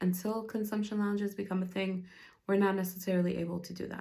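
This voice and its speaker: In a somewhat breathy, dark, mellow tone, a woman speaks at a medium pitch with monotone, flat intonation. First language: not English. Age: 20s. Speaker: podcast host. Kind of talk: solo podcast talk on policy. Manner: casual, conversational.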